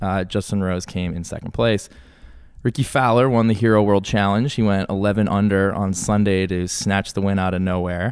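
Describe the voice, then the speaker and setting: In an unremarkable speaking voice, a man talks at a fairly low pitch and moderate pace with fairly even intonation, in a very clean recording with a silent background. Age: 20s. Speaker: golf podcast co-host. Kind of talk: casual chat.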